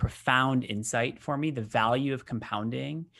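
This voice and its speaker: A man with an ordinary speaking voice talks at a moderate pace and medium pitch, with ordinary pitch variation. The recording is very clean with a silent background. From US Midwest, Michigan. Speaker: business executive. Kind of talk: interview.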